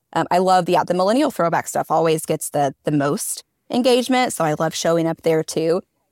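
A woman with a plain, everyday voice speaks fairly quickly at a fairly low pitch, with lively intonation, very even loudness and a dry, close sound with no echo. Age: 30s. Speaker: content creator and mom. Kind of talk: casual chat.

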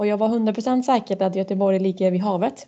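In a dark, mellow tone, a woman speaks at a moderate pace and medium pitch with ordinary pitch variation. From Switzerland. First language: Swiss German (speaking Swedish). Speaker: floorball goalkeeper. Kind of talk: interview.

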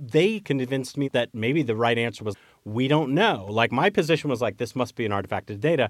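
Fairly quick speech from a man in an ordinary speaking voice, medium in pitch with lively intonation. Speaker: journalist and public health historian. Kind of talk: interview.

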